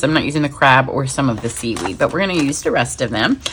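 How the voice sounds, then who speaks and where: Vocal fry runs through a woman's voice, which has lively intonation. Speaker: paper crafting demonstrator. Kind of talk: tutorial. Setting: home craft studio. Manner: fast; casual, chatty.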